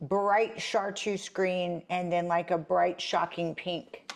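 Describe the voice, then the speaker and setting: A woman's medium-pitched voice unfolds at a very slow pace. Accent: Texan. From South Texas. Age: 50s. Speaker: co-host. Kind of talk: casual chat.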